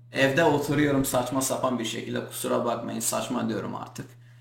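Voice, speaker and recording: Someone with a Kurdish accent speaks at a moderate pace, with audible room echo and noticeable background noise. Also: man. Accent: Kurdish accent in Turkish. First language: Kurdish (speaking Turkish). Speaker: Kurdish YouTuber. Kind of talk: vlog rant to camera. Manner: animated, indignant.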